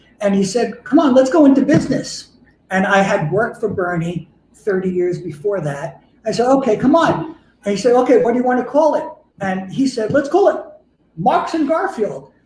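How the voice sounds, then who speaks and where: With a New York accent, a man talks at a moderate pace in an extremely high pitch, his voice swinging very widely. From New York City, Queens. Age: 70s. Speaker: fashion entrepreneur. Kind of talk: interview. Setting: live stream from his showroom.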